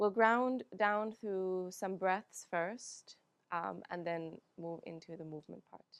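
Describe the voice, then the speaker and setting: Against a quiet background, a woman with a Finnish accent speaks very slowly in a calm, soothing tone, at a medium pitch with ordinary pitch variation. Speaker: yoga teacher. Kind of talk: guided yoga class.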